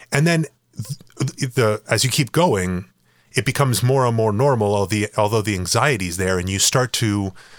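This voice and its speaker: A man's fairly low pitch, a normal speaking voice, with ordinary pitch variation. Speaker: podcast host and runner. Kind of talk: casual chat. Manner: laid-back, jokey.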